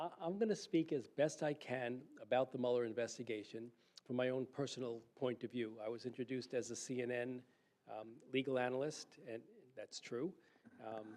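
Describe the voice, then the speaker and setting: At a fairly quick pace, a man with medium pitch and ordinary pitch variation speaks, leaving long, frequent pauses. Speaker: legal analyst and attorney. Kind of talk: public lecture. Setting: lecture hall with audience. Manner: soft-spoken.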